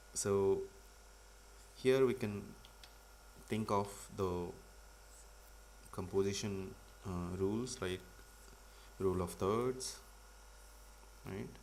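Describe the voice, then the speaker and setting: A man speaks at a fairly low pitch with ordinary pitch variation, very slowly, with long, frequent pauses. Room echo is audible. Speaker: comic artist teaching a livestream. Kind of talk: live tutorial. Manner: loud. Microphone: audio was too quiet at first.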